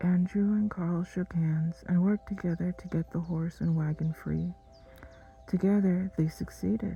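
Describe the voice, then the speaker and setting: Soft-spoken, calm delivery at a moderate pace, with music in the background. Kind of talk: sleep story narration. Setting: soft background music.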